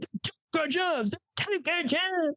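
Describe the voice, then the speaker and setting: Someone uses a put-on character voice at an extremely high pitch, moving at a fairly slow pace. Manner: mocking.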